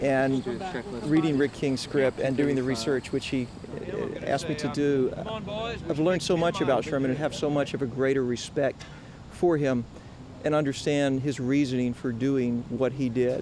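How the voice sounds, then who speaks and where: Against noticeable background noise, a man with an American accent speaks at a fairly high pitch and a moderate pace, keeping his intonation fairly even. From US South, coastal South Carolina. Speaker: actor. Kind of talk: interview.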